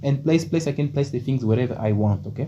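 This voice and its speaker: A man speaks at a very fast clip with ordinary pitch variation. Noticeable background noise sits under his voice. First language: Portuguese. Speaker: programming tutor. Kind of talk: tutorial. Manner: halting, many fillers.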